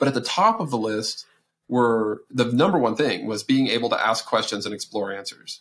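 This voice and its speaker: Moderately paced male speech in an ordinary speaking voice, at medium pitch with ordinary pitch variation. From Texas. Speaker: research institute director. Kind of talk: podcast interview.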